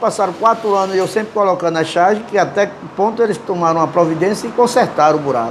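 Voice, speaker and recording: A man's high voice at a very fast pace, with ordinary pitch variation, very even loudness and noticeable background noise. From Brazil, Northeast (João Pessoa, Paraíba). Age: 60s. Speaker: cartoonist. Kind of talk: interview. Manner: halting.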